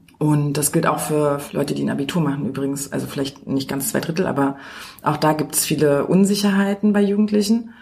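A woman with a very deep, low pitch speaks at a fairly quick pace. Her intonation is lively over noticeable background noise. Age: 30s. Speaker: teacher and researcher. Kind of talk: interview.

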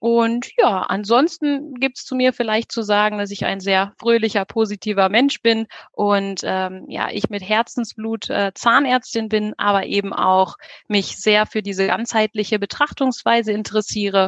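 The sound is dry and close with no echo as a woman speaks at a fairly slow pace, her pitch fairly high and her intonation fairly even. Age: 30s. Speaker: dentist. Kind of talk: interview. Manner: hesitant, many fillers.

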